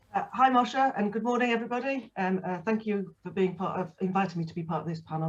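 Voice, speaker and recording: This woman talks at a very fast pace with a Manchester accent. Her intonation is lively. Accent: northern English (Manchester). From northern England, Manchester. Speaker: architect, studio director. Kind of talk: panel discussion.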